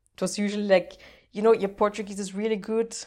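A woman speaks with a German accent. The recording is very clean, with a silent background. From Austria (Vienna). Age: 20s. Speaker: language learner and content creator. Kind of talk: casual podcast interview.

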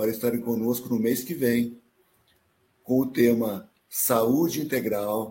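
The man has a dark, mellow tone and a medium pitch. He speaks at a fairly slow pace. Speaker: live stream host. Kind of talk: live stream hosting.

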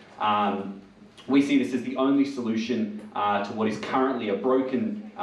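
Noticeable background noise sits under the voice. The intonation stays fairly even. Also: man. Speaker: nurse and union delegate. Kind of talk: rally speech to a pub audience. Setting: live pub event with audience. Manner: earnest, persuasive; hesitant, filler-heavy.

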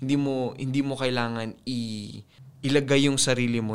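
A man speaks with a Filipino accent. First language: Tagalog. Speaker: personal finance podcaster. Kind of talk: casual solo podcast monologue.

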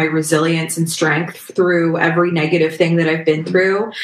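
A woman with a fairly low pitch talks amid audible room echo and noticeable background noise. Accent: Canadian. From Canada, Toronto area. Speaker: singer-songwriter. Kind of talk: casual interview chat.

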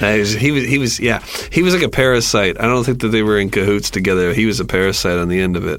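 A man's fairly low voice at a very fast pace, with lively intonation and noticeable background noise. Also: very even loudness. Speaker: podcast co-host. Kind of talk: casual comedic commentary.

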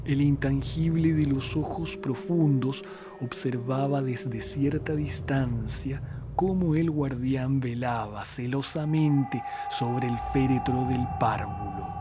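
With music in the background, a man of medium pitch speaks very slowly in a solemn tone, his loudness very even and his pitch varying in an ordinary way. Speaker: podcast storyteller. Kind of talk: scripted horror narration, ghost story telling. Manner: slow, solemn, hushed and eerie, with ornate literary phrasing; formal, dramatic and brooding.

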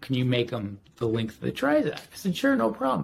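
This man talks at a moderate pace in a plain, everyday voice. His pitch sits in the medium range. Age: 40s. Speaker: detailer and sanding block maker. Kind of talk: casual chat.

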